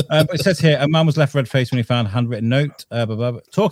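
The text is read aloud plainly, its pitch varying in an ordinary way.

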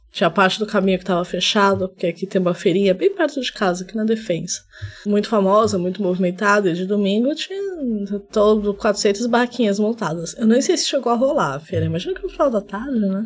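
Over noticeable background noise, a soft-spoken woman talks at a fairly quick pace, with medium pitch and ordinary pitch variation. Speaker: podcast co-host. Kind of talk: casual chat.

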